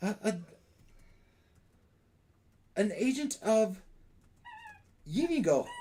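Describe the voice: Using a put-on character voice, a man speaks very slowly at a high pitch with big swings, his tone dark and mellow.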